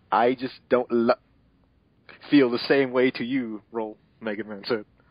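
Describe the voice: A man's medium-pitched voice at a fairly slow pace, fairly even intonation, dry and close with no echo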